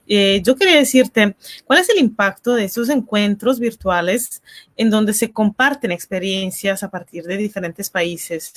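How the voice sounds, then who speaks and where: A woman with an unremarkable speaking voice talks at a fairly slow pace, her medium pitch moving with ordinary variation, in a dry, close recording with no echo. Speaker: interview host. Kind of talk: live online interview hosting.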